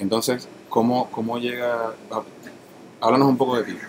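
Against noticeable background noise, a man speaks at medium pitch and a moderate pace in a monotone, flat delivery. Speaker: podcast host interviewer. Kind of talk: casual interview.

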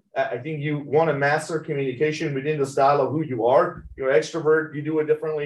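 The voice is somewhat breathy and monotone, with flat intonation at a very fast pace. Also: man. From Iran (Tehran), moved to US at 16. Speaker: medtech company CEO. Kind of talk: interview. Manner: halting, many fillers.

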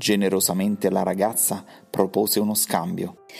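This recording features reading aloud in a natural voice.

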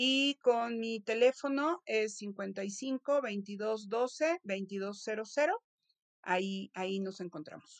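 A fairly high-pitched woman at a very slow pace, with ordinary pitch variation and a dry, close sound with no echo. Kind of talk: interview. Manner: halting, frequent word repetitions.

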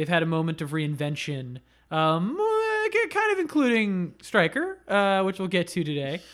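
Recorded very cleanly against a silent background, a male voice proceeds at a moderate tempo. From Florida. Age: 30s. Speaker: podcast host. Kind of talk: casual chat.

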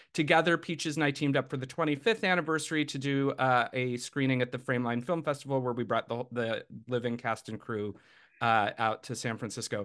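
A man with a plain, everyday voice, medium pitch and ordinary pitch variation, at a fairly quick pace over a quiet background. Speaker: screenwriter. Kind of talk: casual interview.

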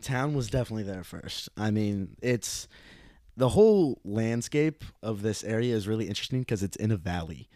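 A man's dark, mellow voice with an American accent, medium pitch, ordinary pitch variation and a moderate pace. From US Midwest, Illinois. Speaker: podcast guest. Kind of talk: casual chat.

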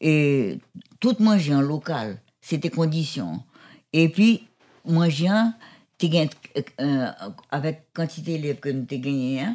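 A woman with a very deep, low pitch and a dark, mellow tone speaks at a very slow pace. Her intonation is lively, broken by long, frequent pauses. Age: 80s+. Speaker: school founder. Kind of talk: interview.

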